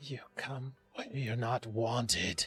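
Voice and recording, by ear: A raspy, put-on character voice at low-to-middle pitch is heard over faint music in the background.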